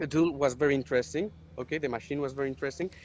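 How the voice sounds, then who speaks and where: Speaking very fast in a Spanish accent, a man with a fairly high pitch shows ordinary pitch variation. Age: 20s. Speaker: product designer. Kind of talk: interview. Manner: halting.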